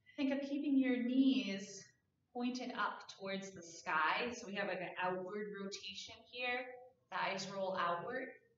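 A woman speaks at a fairly slow pace in a medium pitch with ordinary variation and big swings in loudness. Audible room echo and light background noise surround her voice. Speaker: yoga instructor. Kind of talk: guided prenatal yoga class with calm step-by-step cueing of stretches. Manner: gentle, soothing and reassuring, giving permission to stop; unhurried, precise alignment cues spoken softly. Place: home room. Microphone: camera far.

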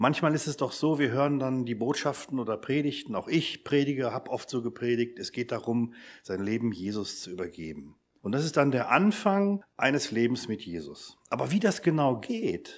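A man's voice with very wide pitch swings, in a very clean recording over a silent background. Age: 50s. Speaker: lecturer at a mission academy, lay preacher. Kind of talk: church seminar talk.

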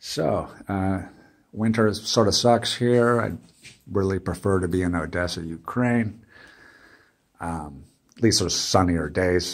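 A man with an American accent speaks at a very deep, low pitch and a fairly slow pace, with ordinary pitch variation, long, frequent pauses, and a quiet background. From United States. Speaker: vlogger, digital nomad; travel vlogger. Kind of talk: casual vlog monologue. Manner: halting, many fillers. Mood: weary, mildly complaining. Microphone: phone near.

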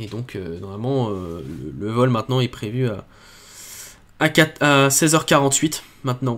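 The voice belongs to a man. It shows ordinary pitch variation. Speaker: space launch livestream host; livestream space launch commentator. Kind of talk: live commentary.

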